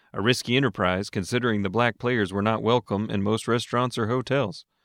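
A man with a normal speaking voice talks at a fairly quick pace and medium pitch. The sound is dry and close with no echo, against a quiet background. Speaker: radio host. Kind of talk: history radio narration, scripted. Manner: steady, clear, polished.

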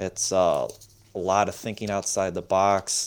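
With an American accent, a plain, everyday voice speaks at a moderate pace in a very clean recording with a silent background. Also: man. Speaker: farmer. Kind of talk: radio interview.

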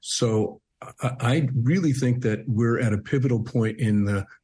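A man's somewhat breathy voice at a moderate pace, with fairly even intonation and a quiet background. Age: 60s. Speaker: bereaved father and nonprofit co-founder. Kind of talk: radio interview. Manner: halting, repeats words.

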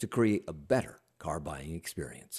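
Speaking at a fairly quick pace, a man with an American accent shows vocal fry. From Washington DC. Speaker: radio host. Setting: remote interview.

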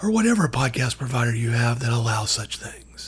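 A man with an American accent talks at a moderate pace. His pitch swings very widely. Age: 50s. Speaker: radio host interviewer. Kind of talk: radio interview.

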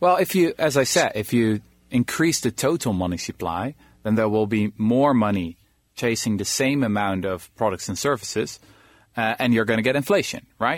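Speaking with a Dutch accent, a man uses lively intonation at a medium pitch. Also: moderate pace, very clean recording, silent background. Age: 20s. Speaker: historian and author. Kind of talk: radio interview.

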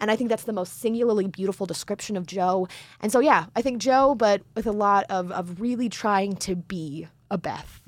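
On a very clean recording with a silent background, a woman speaks at medium pitch. She keeps a moderate pace and ordinary pitch variation. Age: 20s. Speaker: radio producer. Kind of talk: casual chat. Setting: studio.

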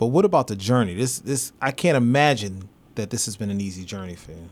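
A man with a plain, everyday voice speaks at medium pitch and a moderate pace, with lively intonation, on a very clean recording with a silent background. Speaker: podcast host. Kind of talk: interview. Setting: studio.

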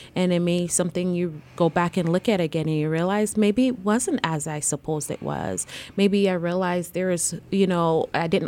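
With a slight Jamaican accent, a woman speaks at a moderate pace and a medium pitch, showing ordinary pitch variation and hardly any pauses. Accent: faint Jamaican accent in American English. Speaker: licensed counselor and therapist. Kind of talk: casual interview chat. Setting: podcast recording.

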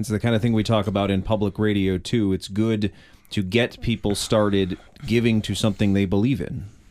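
A man has an unremarkable speaking voice with a fairly low pitch. He talks at a fairly quick pace with fairly even intonation. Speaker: radio host. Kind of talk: radio interview. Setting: studio.

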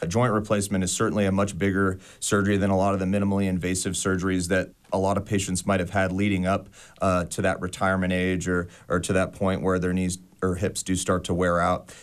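In an American accent, a man with a very deep, low pitch speaks at a very fast pace in a monotone, flat intonation on a very clean recording with a silent background. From Las Vegas, Nevada. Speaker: orthopedic surgeon. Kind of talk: interview. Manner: halting, many fillers.

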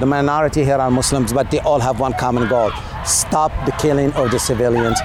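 Noticeable background noise beneath a man's fairly high-pitched, fairly evenly intoned speech. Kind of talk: interview at a protest. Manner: impassioned.

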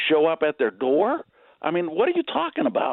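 A man with a plain, everyday voice talks at a fairly high pitch. His pace is fairly quick and his intonation lively. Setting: phone call. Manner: irate, sarcastic.

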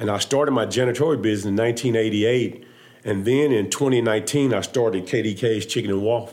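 A man with an American accent and an ordinary speaking voice, medium in pitch, at a moderate pace, with fairly even intonation and very even loudness. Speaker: business owner, former pro football player. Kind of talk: live panel discussion.

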